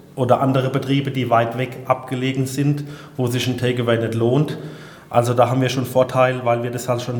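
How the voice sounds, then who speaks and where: With noticeable background noise and audible room echo, a man speaks at a fairly quick pace and a medium pitch in a monotone, flat delivery. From southern Hesse, Odenwald. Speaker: innkeeper and chef. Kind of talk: interview.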